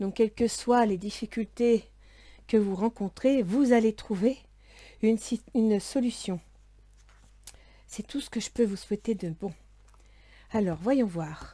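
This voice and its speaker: A soft-spoken, somewhat breathy woman talks at a very slow pace and fairly high pitch, with a dark, mellow tone and ordinary pitch variation. Long, frequent pauses stand out in a very clean recording with a silent background. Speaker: tarot and astrology reader. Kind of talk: tarot reading for viewers. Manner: soft, quiet voice.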